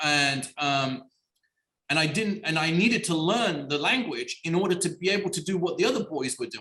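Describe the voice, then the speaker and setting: A man with a high, bright, sharp voice speaks at a moderate pace in an animated tone with lively intonation. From Iran, then schooled in England. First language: Persian. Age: 40s. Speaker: writer and actor. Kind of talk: interview. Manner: animated, many fillers.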